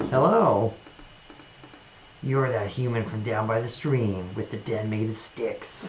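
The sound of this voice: In a put-on character voice with a low pitch, the speaker goes at a fairly slow pace with long, frequent pauses against clear background noise.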